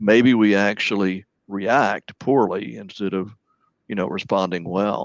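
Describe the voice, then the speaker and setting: Against a quiet background, a man with a normal speaking voice talks at a moderate pace and a fairly low pitch. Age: 60s. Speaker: licensed professional counselor. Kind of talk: radio interview.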